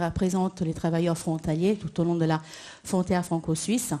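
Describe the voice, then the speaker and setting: A woman speaks with an Italian accent. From Italy. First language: Italian (speaking French). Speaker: employment advisor at a cross-border workers association. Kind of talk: panel discussion.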